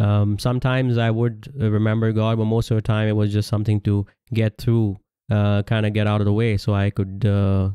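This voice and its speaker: On a very clean recording with a silent background, a man speaks in a monotone, flat intonation, his fairly low voice dark and mellow at a moderate pace. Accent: Pakistani. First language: Urdu. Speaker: religious commentator. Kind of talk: religious lecture. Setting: audio-only recording. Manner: halting with many fillers.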